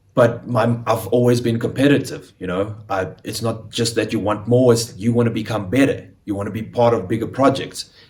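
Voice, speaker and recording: Speaking in a South African accent, a man uses a medium pitch, a somewhat breathy voice and fairly even intonation at a moderate pace with hardly any pauses. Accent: South African Afrikaans. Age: 20s. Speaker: actor. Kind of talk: casual chat.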